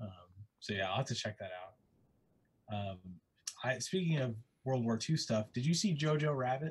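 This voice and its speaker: A man at a moderate pace, somewhat breathy, with lively intonation and long, frequent pauses. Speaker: comic artist. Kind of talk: casual chat. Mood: relaxed, friendly. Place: home room. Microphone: video call.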